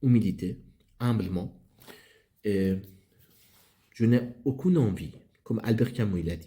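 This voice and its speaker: A man's dark, mellow, somewhat breathy voice with a non-native accent, very slow pace, long, frequent pauses and ordinary pitch variation. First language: not French (speaking French). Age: 30s. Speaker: philosophy YouTuber. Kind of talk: channel introduction monologue. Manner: halting, many hesitations.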